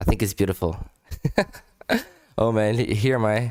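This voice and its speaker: A man speaks with a non-native accent. The recording is very clean, with a silent background. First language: not English. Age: adult. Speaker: language-learning YouTuber. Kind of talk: casual vlog commentary. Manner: halting, many repetitions and fillers; animated.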